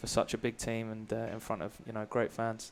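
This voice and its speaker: This man talks at a fairly quick pace. His pitch is medium. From England, Brighton. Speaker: college soccer player. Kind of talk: halftime interview. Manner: hesitant, many fillers.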